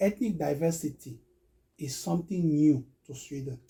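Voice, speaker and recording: A man with a Cameroonian accent speaks in a dark, mellow, fairly high voice with ordinary pitch variation. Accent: Cameroonian francophone English. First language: Medumba. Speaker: recruitment business owner. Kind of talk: interview testimony. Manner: halting.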